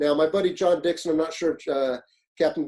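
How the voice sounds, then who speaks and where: A man with an American accent talks at a very fast pace in a dark, mellow tone. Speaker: fire officer and leadership instructor. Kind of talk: webinar presentation. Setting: online webinar. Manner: fast-paced; animated.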